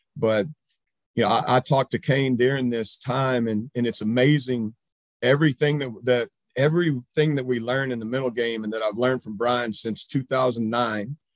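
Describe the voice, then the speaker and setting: At a moderate pace, a man speaks in a normal speaking voice at a medium pitch with fairly even intonation, the sound dry and close with no echo. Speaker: high school baseball coach. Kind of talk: presentation. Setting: video call.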